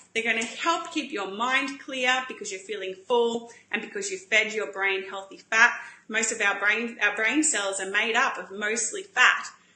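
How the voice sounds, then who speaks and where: With audible room echo and noticeable background noise, a woman speaks at a moderate pace, fairly high in pitch with ordinary pitch variation. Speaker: paleo cooking show host. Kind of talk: live-stream cooking demo. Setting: Facebook live stream. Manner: chatty, animated.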